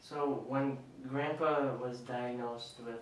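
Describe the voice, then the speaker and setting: Flat, monotone speech from a man against noticeable background noise. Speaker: grandson interviewer. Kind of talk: interview questions.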